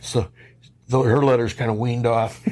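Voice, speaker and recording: In a Midwestern American accent, a man speaks fairly quickly at a medium pitch with monotone, flat intonation. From Detroit, Michigan. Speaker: Marine Corps Vietnam veteran. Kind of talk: interview answer.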